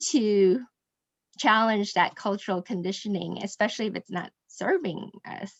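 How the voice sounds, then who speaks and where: A woman speaks at a fairly slow pace with an American accent. The sound is dry and close, without echo. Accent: Americanized. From Indonesia and Singapore. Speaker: mastermind group member. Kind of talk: group discussion. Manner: hesitant, many fillers.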